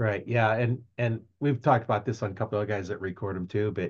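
A somewhat breathy man's voice, fairly low in pitch, at a fairly quick pace with fairly even intonation against a quiet background. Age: 60s. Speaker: podcast host. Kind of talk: casual interview. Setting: video recording, live on Facebook.

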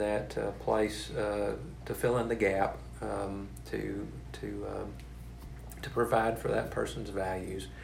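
A man's very slow speech in a Texan accent, with audible room echo and noticeable background noise. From East Texas. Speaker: hospital chaplain. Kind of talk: interview. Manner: halting, many fillers and repeats.

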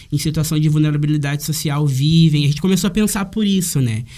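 A man's fairly high voice comes through somewhat breathy. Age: 20s. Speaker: university student. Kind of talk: casual chat.

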